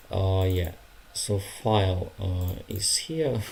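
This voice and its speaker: This man speaks with a Ukrainian accent in a fairly low pitch. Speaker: language learner streamer. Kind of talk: casual study livestream. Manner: halting, many fillers.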